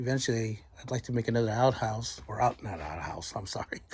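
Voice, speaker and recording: On a very clean recording with a silent background, a man with a medium pitch sounds somewhat breathy, his intonation fairly even. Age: 60s. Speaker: woodworker and firewood maker. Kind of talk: casual shop tour. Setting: home workshop.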